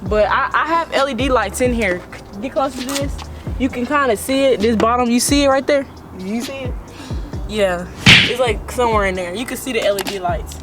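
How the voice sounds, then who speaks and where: A woman talks at a fairly quick pace in a high voice with ordinary pitch variation. Music plays in the background, and the room echo is audible. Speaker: car vlogger. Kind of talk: casual vlog walkthrough. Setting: garage. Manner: halting, self-correcting.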